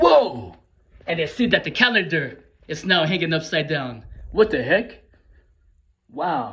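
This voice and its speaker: The pace is fairly slow. The intonation is lively. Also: man. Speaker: skit creator. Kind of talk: casual vlog chat.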